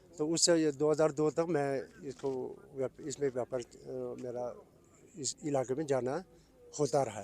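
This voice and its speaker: Over noticeable background noise, a man with a fairly high pitch and fairly even intonation talks with long, frequent pauses. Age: 60s. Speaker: retired border trader. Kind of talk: news interview.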